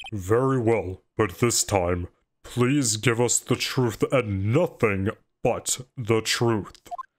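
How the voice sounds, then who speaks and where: A man puts on a character voice at a medium pitch. He goes at a very slow pace with very even loudness. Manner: stern, formal.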